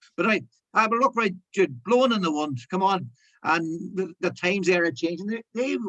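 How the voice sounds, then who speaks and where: Man with a Northern Irish accent, high in pitch, bright and sharp in tone, lively intonation, fairly quick pace. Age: 60s. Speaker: broadcaster. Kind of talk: casual chat. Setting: video call.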